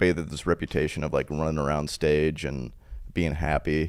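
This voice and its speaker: Vocal fry runs through a man's very deep, low pitch. His intonation is fairly even and his pace moderate. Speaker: stand-up comedian. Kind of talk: casual chat. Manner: low energy.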